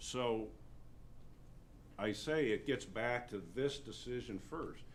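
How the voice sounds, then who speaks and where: A man speaks at a very slow pace and a medium pitch, with ordinary pitch variation. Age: 60s. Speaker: county attorney. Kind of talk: public meeting discussion. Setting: county commissioners meeting. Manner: halting, many repetitions.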